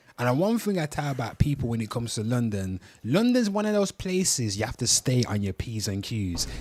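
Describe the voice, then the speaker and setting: A man with a Birmingham accent talks at a medium pitch and a fairly quick pace, barely pausing, while his pitch swings very widely. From Birmingham, England. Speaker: livestream host. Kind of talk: casual live stream talk.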